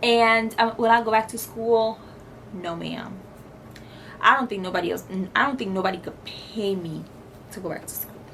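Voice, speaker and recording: A woman with a fairly high pitch speaks at a moderate pace with fairly even intonation and long, frequent pauses. Her loudness swings widely, with audible room echo and noticeable background noise. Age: 20s. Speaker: lifestyle vlogger. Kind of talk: casual chat.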